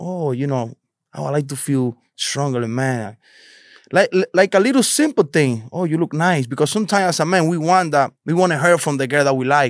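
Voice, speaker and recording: In a very clean recording with a silent background, a man with a Spanish accent speaks at a fairly high pitch with ordinary pitch variation. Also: fairly quick pace, dry, close sound with no echo. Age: 30s. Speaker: delivery driver who went viral. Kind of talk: casual interview chat.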